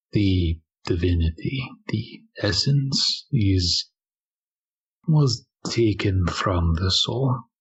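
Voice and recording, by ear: A man puts on a character voice that is low-pitched, husky and rough-edged, swinging very widely in pitch at a very slow pace.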